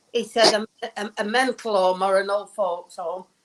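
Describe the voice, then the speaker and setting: A woman speaks with a British accent at a fairly high pitch. Her intonation stays fairly even. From northern England. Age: 60s. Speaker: caller. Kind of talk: call-in complaint. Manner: halting.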